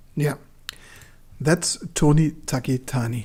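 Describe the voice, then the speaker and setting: A woman speaks at a fairly slow pace in a very deep, low voice that is somewhat breathy, with a dark, mellow tone. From Germany. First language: Turkish. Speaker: book channel host. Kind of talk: casual livestream chat. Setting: livestream. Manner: halting.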